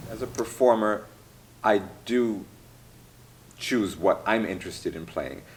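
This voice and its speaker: A fairly low, vocal-fried male voice with an American accent, fairly slow and full of long, frequent pauses, with big swings in loudness. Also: ordinary pitch variation. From US Midwest, Michigan. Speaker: classical pianist. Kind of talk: interview. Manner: halting, with fillers and restarts.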